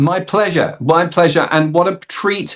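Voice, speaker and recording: At a moderate pace, a man talks with a South London accent. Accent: South London accent, fully intact. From South London, England. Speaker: actor and comedian. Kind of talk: interview. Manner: hesitant, many fillers.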